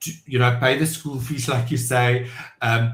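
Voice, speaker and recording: A man talks at a moderate pace with a medium pitch and ordinary pitch variation. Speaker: entrepreneur and business owner. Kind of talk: podcast interview. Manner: loud; halting, many fillers.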